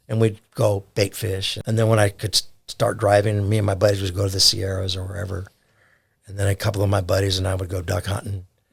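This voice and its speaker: Very fast and monotone, a man talks in a fairly low, flat pitch with a somewhat breathy sound. The recording is very clean, with a silent background. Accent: American. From US West Coast, Orange County, California. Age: 70s. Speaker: conservation volunteer and duck hunter. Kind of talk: casual podcast interview. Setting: studio.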